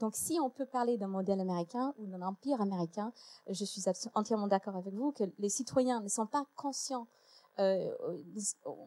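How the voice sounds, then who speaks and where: Delivered at a moderate pace in an English accent, the dark, mellow voice has ordinary pitch variation, long, frequent pauses and a dry, close sound with no echo. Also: woman, fairly high pitch for a woman. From United States. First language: English (speaking French). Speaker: historian and lecturer. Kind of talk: panel debate. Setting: stage with audience.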